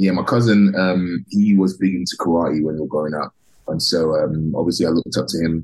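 The speaker has a London accent and talks at a fairly quick pace. The pitch varies in an ordinary way. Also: man, very deep, low pitch for a man. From London, England (Tottenham). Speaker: professional wrestler. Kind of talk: interview.

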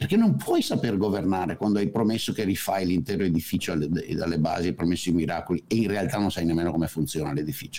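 Very fast and lively, a man talks with a dark, mellow tone. His pitch is very deep and low. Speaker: economist, political commentator. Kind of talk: casual chat.

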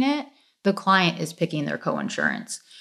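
A woman with an American accent speaks in a plain, everyday voice. Her pitch is medium, and her intonation is lively. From Michigan, suburbs south of Detroit. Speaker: health insurance agent. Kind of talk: interview, explaining. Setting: remote recording.

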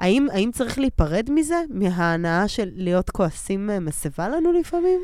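Her pitch swinging very widely, a woman talks at a fairly slow pace with hardly any pauses. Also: medium pitch for a woman. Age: 30s. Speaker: podcast co-host and actress. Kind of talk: casual chat.

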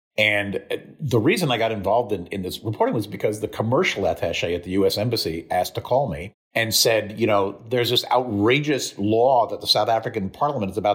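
Somewhat breathy, a man with a medium pitch talks at a fairly quick pace. His pitch varies in an ordinary way. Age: 70s. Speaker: science and health journalist. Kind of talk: interview. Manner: calm, reassuring delivery; opinionated, prone to rants.

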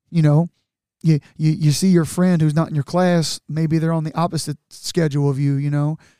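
A man with an American accent speaks in a fairly high, dark, mellow voice. The sound is dry and close with no echo. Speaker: podcast host. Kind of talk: solo monologue, casual chat. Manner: fast talker, animated, loud.

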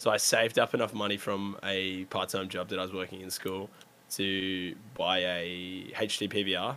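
Speaking fairly slowly, a man with an Australian accent has a very deep, low pitch. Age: 20s. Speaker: video game streamer. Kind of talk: casual chat. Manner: animated.

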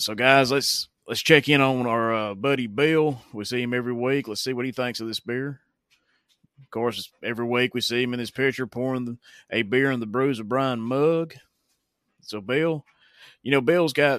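A man with a Southern US accent speaks at a moderate pace and medium pitch, with fairly even intonation, big swings in loudness, and long, frequent pauses. The recording is very clean, with a silent background. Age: 30s. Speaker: beer review podcast host. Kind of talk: casual review monologue. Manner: hesitant with fillers.

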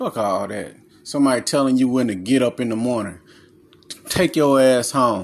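A man with a medium pitch speaks in an animated tone at a moderate pace. He uses ordinary pitch variation and takes long, frequent pauses. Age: 30s. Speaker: self-help podcaster and author. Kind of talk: casual monologue.

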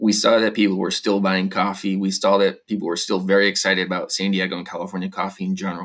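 Speaking with an American accent, a man talks at a very fast pace with hardly any pauses. His fairly low voice stays flat and monotone. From Vermont, US. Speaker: coffee farmer and cafe owner. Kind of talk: interview.

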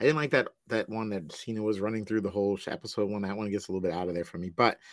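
Very fast speech from a man with an American accent, fairly low in pitch and fairly even in intonation, on a very clean recording with a silent background. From US Northeast, Long Island, New York. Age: 40s. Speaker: podcaster and public school teacher. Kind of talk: casual chat.

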